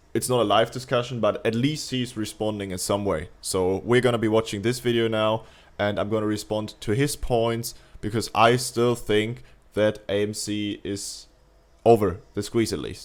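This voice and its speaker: In a German accent, a man speaks at a moderate pace and medium pitch with fairly even intonation, on a very clean recording with a silent background. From Germany. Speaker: YouTuber reacting to a video. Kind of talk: casual reaction commentary. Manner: halting, with hesitations.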